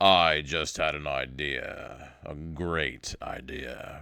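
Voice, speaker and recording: Booming and very deep, a man's put-on character voice moves at a very slow pace in a very clean recording with a silent background. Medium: read story. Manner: commanding.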